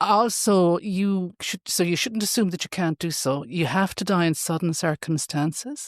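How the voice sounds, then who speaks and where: An ordinary speaking voice from a woman, fairly low in pitch with ordinary pitch variation, moves at a moderate pace with hardly any pauses in a dry, close sound with no echo, on a very clean recording with a silent background. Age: 60s. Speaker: ICU consultant doctor. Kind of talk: podcast interview.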